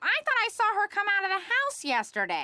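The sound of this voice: A woman does a cartoonish character voice that is squeaky and extremely high-pitched, with very wide pitch swings but very even loudness.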